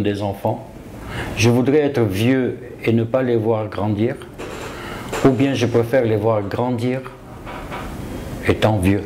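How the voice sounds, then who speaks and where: Over noticeable background noise and audible room echo, a man talks at a very slow pace. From Ivory Coast. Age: 60s. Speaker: self-taught property developer. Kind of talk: interview.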